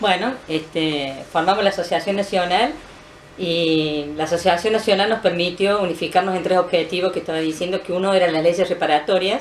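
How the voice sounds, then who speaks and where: At a fairly quick pace, a woman speaks with fairly even intonation and a fairly low pitch. Noticeable background noise is present. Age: 60s. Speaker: former political prisoner, retired PE teacher. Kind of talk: interview testimony.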